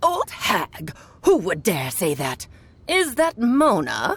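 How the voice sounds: This is a put-on character voice with a fairly high pitch. It moves at a very slow pace.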